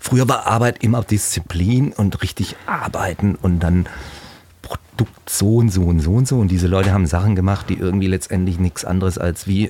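A man's very deep, low voice, dark and mellow in tone, at a moderate pace. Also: ordinary pitch variation, very even loudness. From Heilbronn area, Baden-Württemberg. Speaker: painter. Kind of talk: casual interview chat.

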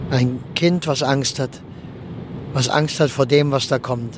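Against noticeable background noise, a man speaks at a fairly slow pace in a medium pitch with monotone, flat intonation. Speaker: funeral speaker and podcast host. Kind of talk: casual monologue. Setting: in a car.

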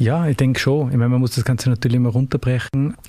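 In an Austrian accent, the voice moves at a very fast pace with monotone, flat intonation. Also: man. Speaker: lawyer and consulting partner. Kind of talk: interview.

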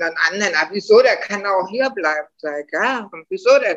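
Speaking at a fairly quick pace, a woman has a bright, sharp tone and a Berlin accent. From Germany, Berlin. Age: 60s. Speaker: interviewee living abroad. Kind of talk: casual interview.

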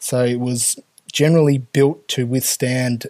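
In an Australian accent, a man speaks at a medium pitch, the sound dry and close with no echo on a very clean recording with a silent background. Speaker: air traffic controller and union president. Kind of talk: podcast interview. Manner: hesitant, many fillers.

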